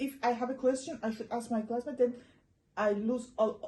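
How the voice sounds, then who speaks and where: Her tone dark and mellow, a woman with an Iranian accent speaks at a high pitch and moderate pace with fairly even intonation. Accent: Iranian (Persian). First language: Persian (Farsi). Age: young. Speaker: interviewee, former student abroad. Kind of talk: casual interview chat.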